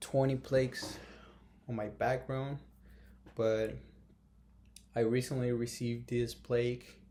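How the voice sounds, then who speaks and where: Speaking very slowly with a Brazilian Portuguese accent, a man has a dark, mellow tone and monotone, flat intonation. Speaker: YouTuber. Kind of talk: casual vlog talk to camera. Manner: halting, many fillers.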